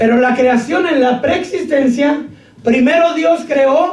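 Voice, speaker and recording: A man speaks with an extremely high pitch at a very slow pace. His pitch varies in an ordinary way, and the room echoes audibly. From Mexico. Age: 50s. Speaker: pastor. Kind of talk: sermon.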